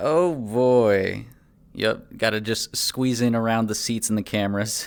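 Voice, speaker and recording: A man speaks fairly slowly in an ordinary speaking voice, at a medium pitch with ordinary variation. The recording is very clean, and the background is silent. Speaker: streamer playing a roleplay character. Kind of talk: in-character roleplay livestream. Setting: livestream with full body tracking.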